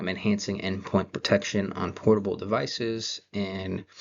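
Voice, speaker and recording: A soft-spoken man at a fairly slow pace. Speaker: college student. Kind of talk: class presentation. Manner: hesitant, many fillers.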